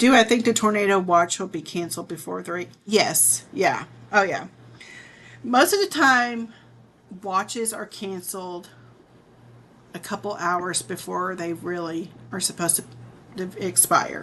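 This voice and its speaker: Speaking with an American accent, a woman uses vocal fry at a medium pitch, with ordinary pitch variation, big swings in loudness, a fairly slow pace and long, frequent pauses. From southern Illinois (Murphysboro). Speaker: weather streamer. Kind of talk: live weather commentary.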